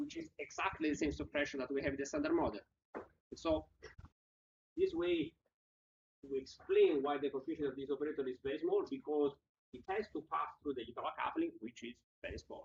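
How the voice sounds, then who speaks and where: A fairly quick pace broken by long, frequent pauses. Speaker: physics lecturer. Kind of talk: lecture. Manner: fast.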